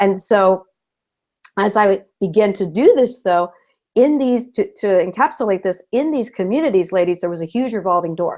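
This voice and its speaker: Lively intonation runs through this woman's speech. She has a Californian accent. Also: medium pitch for a woman, moderate pace. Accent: Californian American English. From Southern California. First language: Spanish. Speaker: retired school principal, new teacher advocate. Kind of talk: interview on a live video show.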